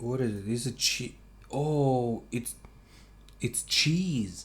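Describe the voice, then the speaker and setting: Speaking at a very slow pace, a man with a medium pitch sounds somewhat breathy, his intonation fairly even. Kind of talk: casual talk to camera, food tasting monologue. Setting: close ambisonic binaural mic, quiet room. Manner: soft-spoken, slow, calm.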